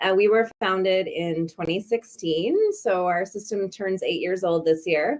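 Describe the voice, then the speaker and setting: An unremarkable speaking voice from a woman with a Canadian accent, medium in pitch and fairly slow. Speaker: bike share executive. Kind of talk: webinar presentation.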